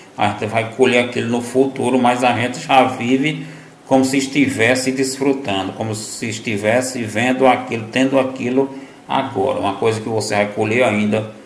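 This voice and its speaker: A man's medium-pitched voice carries fairly even intonation, with audible room echo and noticeable background noise around it. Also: moderate pace. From Northeast Brazil, Piauí. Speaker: lay preacher. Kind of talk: gospel reflection. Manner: halting, many fillers.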